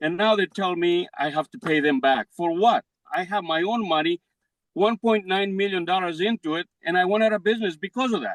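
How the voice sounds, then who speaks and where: Speaking at a fairly quick pace with a Greek accent, a man's high voice shows ordinary pitch variation. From Greece. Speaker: defendant business owner. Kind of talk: court hearing.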